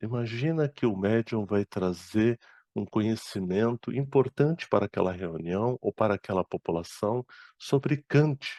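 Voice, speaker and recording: This man talks at a fairly slow pace in a dark, mellow tone, with a dry, close sound, no echo and a quiet background. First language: Arabic (speaking Portuguese). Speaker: spiritist speaker and medium. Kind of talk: lecture.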